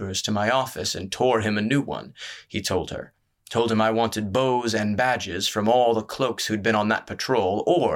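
Against a quiet background, the speaker uses a natural reading voice with fairly even intonation.

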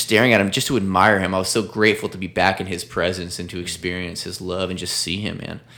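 A man with a very deep, low voice speaks at a very fast pace. He takes hardly any pauses. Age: 20s. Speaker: life coach and motivational speaker. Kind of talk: casual interview conversation.

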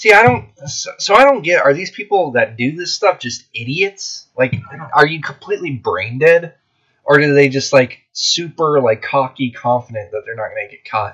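This man's loudness swings widely as he talks at a moderate pace. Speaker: podcast host; military veteran. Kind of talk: casual chat. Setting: in the back of a van.

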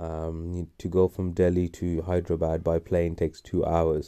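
A man's very deep, low, dark and mellow voice in a monotone, flat delivery at a very slow pace, on a very clean recording with a silent background. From Wales and England. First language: Urdu. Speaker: podcast host, anesthetist doctor. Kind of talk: solo personal monologue podcast.

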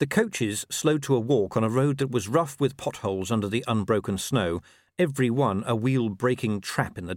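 The recording captures reading aloud in a natural voice.

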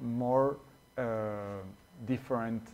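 Medium in pitch, a man speaks with a Spanish accent and fairly even intonation. His pace is very slow. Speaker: returning guest. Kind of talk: casual chat. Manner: halting.

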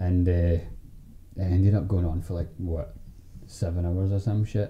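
A man with a very deep, low pitch and a dark, mellow, relaxed tone speaks somewhat breathily at a moderate pace, his intonation fairly even. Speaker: podcast host and editor. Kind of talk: casual chat, banter. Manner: relaxed, jokey.

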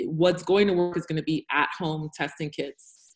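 With a normal speaking voice and an American accent, the speaker talks at a moderate pace in fairly even intonation. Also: woman. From United States. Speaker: health tech founder. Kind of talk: panel discussion. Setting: video call.

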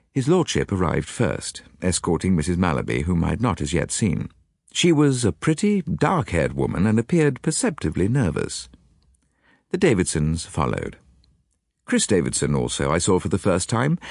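Very deep and low in pitch with vocal fry, a man's voice swings very widely in pitch yet keeps very even loudness against a quiet background. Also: moderate pace. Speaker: audiobook narrator. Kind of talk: dramatic narration of a detective story, reading aloud with character voices. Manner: formal, measured, period-style storytelling.

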